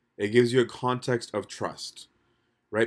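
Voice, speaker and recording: A man speaks at a medium pitch. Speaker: priest. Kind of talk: talk on faith with opening and closing prayers. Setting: video call. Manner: casual, hesitant with many fillers.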